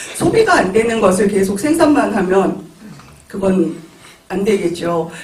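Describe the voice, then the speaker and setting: Noticeable background noise and audible room echo surround a man speaking at a fairly slow pace. His voice is high in pitch, with ordinary pitch variation. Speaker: panelist, local food committee member. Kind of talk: panel discussion remarks. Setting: auditorium forum with audience. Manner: hesitant fillers.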